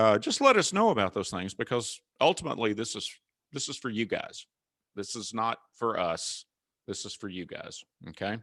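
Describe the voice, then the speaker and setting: With a Southern US accent, a man speaks at a moderate pace and a medium pitch. The sound is dry and close, with no echo. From US South. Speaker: cybersecurity consultant. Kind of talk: webinar presentation. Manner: casual.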